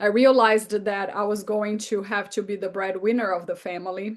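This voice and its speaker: With a Brazilian Portuguese accent, a woman talks at a moderate pace and a fairly high pitch. Her intonation is fairly even, and the background is quiet. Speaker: therapist and author. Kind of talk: interview.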